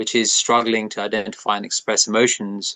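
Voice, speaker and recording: A man keeps a monotone, flat intonation at a medium pitch, talking at a moderate pace. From England (Watford), British Indian. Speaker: neurodivergent artist and public speaker. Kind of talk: interview. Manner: halting.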